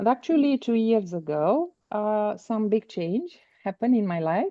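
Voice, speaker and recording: Spoken in a Romanian accent, the voice shows ordinary pitch variation. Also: woman. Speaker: business coach. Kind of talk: interview. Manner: halting.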